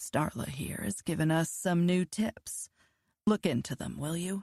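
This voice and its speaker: Using a put-on character voice, a woman speaks at a moderate pace with a raspy, fairly low pitch in a dry, close sound with no echo. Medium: read story.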